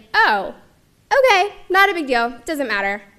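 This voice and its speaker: A woman with a Mid-Atlantic US accent talks at a fairly quick pace. Her tone is animated and her intonation lively. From Maryland, US (Montgomery County). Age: 30s. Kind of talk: personal testimony talk.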